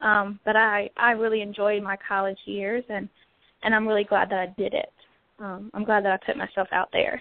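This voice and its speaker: A woman's medium-pitched voice with an American accent, moderate pace and monotone, flat intonation. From Southern Virginia. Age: 20s. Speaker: first grade teacher. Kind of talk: casual chat.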